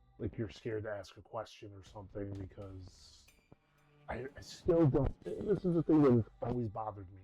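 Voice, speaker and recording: A man's fairly low voice at a moderate pace, with lively intonation and big swings in loudness, over music in the background. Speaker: gaming content creator. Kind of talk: casual gameplay commentary. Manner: halting, many false starts.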